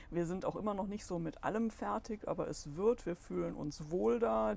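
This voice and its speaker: A woman talks at a moderate pace with a fairly low pitch. Vocal fry runs through her voice. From Solingen-Ohligs, Rhineland, Germany. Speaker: goldsmith and shop owner, local business association member. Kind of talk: casual interview.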